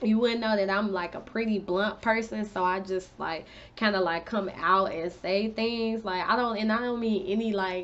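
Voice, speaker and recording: In an ordinary speaking voice, a woman speaks at a moderate pace and medium pitch with fairly even intonation. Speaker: beauty and lifestyle vlogger. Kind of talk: casual storytime vlog.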